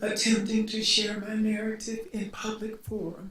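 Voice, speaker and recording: A woman with an American accent speaks at a very slow pace amid noticeable background noise. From US South, Montgomery, Alabama. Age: 60s. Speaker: community activist, panelist. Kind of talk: panel introduction. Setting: panel with live audience.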